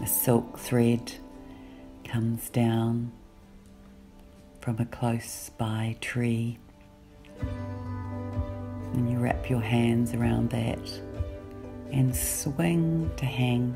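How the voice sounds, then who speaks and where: A woman's very deep, low voice at a very slow pace, calm and soothing in tone, with long, frequent pauses, very even loudness, ordinary pitch variation, and music in the background. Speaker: guided meditation guide. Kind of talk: guided meditation. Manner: slow, calm, soothing.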